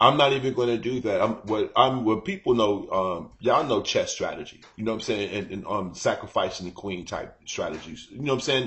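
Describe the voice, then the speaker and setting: Moving at a fairly quick pace with hardly any pauses, a man speaks at a medium pitch with ordinary pitch variation. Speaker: live-stream host. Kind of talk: casual chat. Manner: loud.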